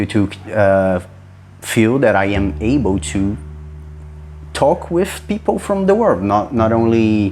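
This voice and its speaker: Pausing long and often, a man speaks very slowly in a fairly low pitch with a Brazilian Portuguese accent, with music in the background. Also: lively intonation. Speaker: hobbyist game developer, content creator. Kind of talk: casual video log. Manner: halting, many repetitions and false starts.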